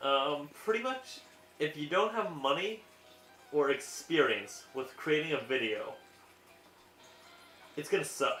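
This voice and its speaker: Over music in the background, a man mumbles at a fairly slow pace in a fairly high pitch with lively intonation. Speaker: gaming let's play commentator. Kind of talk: casual game commentary. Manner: mumbling; hesitant with fillers.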